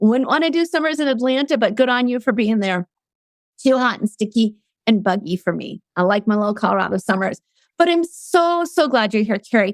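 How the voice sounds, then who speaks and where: With lively intonation and a fairly high pitch, a woman talks at a fairly quick pace in a normal speaking voice, captured dry and close with no echo. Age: 60s. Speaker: podcast host. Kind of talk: casual chat.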